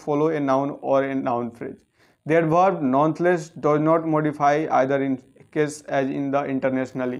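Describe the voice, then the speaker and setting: Fairly quick speech with fairly even intonation over a quiet background. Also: man. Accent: Indian. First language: Hindi. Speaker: English grammar teacher. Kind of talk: lecture. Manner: reading aloud. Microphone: phone near.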